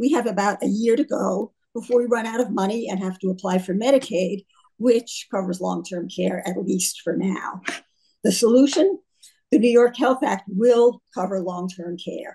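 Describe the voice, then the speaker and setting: A woman talks at a medium pitch in a somewhat breathy voice. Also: ordinary pitch variation, moderate pace. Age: 80s+. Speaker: retired physician and health care advocate. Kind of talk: press conference speech. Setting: press conference.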